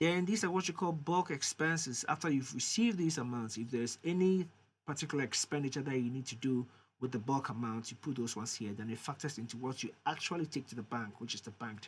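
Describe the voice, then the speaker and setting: Over a quiet background, a man talks at a very fast pace. His voice is somewhat breathy. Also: medium pitch for a man, lively intonation. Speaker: software demo creator. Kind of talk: tutorial.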